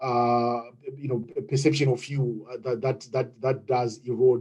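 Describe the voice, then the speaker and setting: With a Zimbabwean accent, a man speaks at a moderate pace and medium pitch, his dark, mellow tone somewhat breathy and his intonation fairly even. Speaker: webinar participant. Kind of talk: group discussion. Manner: halting.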